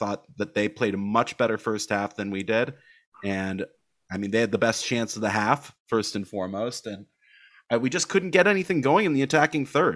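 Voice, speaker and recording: A plain, everyday voice from a man, medium in pitch, with lively intonation, a moderate pace, and a very clean recording with a silent background. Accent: American. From United States. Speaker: football podcast host. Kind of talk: casual chat.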